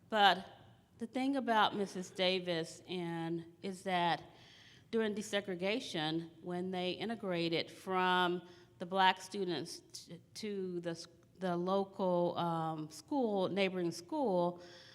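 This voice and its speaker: A woman at medium pitch with an American accent, very slow pace and ordinary pitch variation, on a very clean recording with a silent background. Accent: slight Southern accent, comes out at times. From Texas, small town near Dallas. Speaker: school district administrator. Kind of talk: conference presentation.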